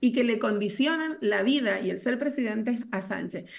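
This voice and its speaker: A woman speaks in a Canarian accent at a fairly high pitch with lively intonation. The background is quiet. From Canary Islands, Telde (Gran Canaria); Canary Islands, Spain. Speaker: politician. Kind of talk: political debate. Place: home room. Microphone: video call.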